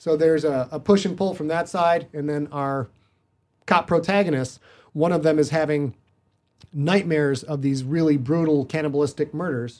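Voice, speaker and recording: A man with an American accent and a plain, everyday voice, fairly high pitched, at a moderate pace with fairly even intonation, on a very clean recording with a silent background. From northern Michigan. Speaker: author and podcaster. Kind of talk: casual chat.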